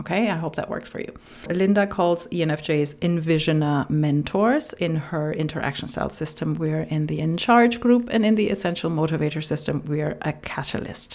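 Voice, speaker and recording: A woman with a non-native accent, very deep and low in pitch, with ordinary pitch variation, a moderate pace and hardly any pauses. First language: not English. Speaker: relationship coach. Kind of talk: reading aloud with personal commentary.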